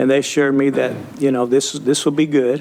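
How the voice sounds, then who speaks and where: Fairly quick, monotone, flat speech with an American accent amid noticeable background noise. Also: man. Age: 60s. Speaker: council chair. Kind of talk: council meeting debate.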